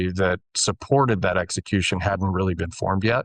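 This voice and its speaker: In an ordinary speaking voice with an American accent, a man speaks at a moderate pace and a fairly low pitch, with a dry, close sound with no echo against a quiet background. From US Midwest, rural Iowa. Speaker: real estate investment manager. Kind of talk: interview in a webinar.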